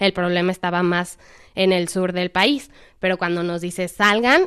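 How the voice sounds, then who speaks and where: At a fairly slow pace, a woman speaks in an ordinary speaking voice at medium pitch on a very clean recording with a silent background. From Mexico, Irapuato. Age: 20s. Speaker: volunteer. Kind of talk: interview testimony.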